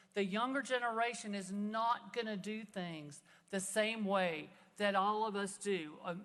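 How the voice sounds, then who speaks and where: Fairly slow speech with ordinary pitch variation is heard over noticeable background noise. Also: woman, medium pitch for a woman. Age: 60s. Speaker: state legislator. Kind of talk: floor speech. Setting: legislative chamber.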